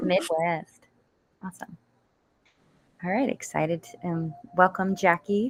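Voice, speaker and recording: The speaker, with an American accent, talks at a fairly slow pace with long, frequent pauses. Music plays in the background, and the sound is dry and close with no echo. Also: woman, medium pitch for a woman, ordinary pitch variation. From Washington DC area, US. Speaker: event organizer. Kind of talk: live panel discussion.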